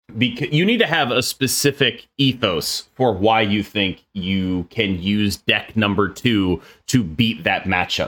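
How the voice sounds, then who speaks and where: An ordinary speaking voice with lively intonation, very cleanly recorded against a silent background. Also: man. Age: 30s. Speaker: card game streamer and podcast co-host. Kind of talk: casual chat.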